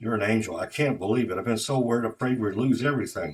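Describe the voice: Straightforward plain reading aloud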